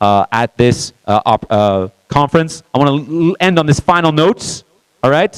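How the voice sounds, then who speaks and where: The speaker is a man. His voice comes through dry and close, with no echo. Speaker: conference speaker. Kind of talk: speech to a live audience. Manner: fast.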